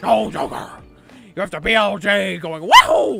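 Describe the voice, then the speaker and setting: A man's put-on character voice, raspy and high-pitched, raised and projected, at a moderate pace. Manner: very serious.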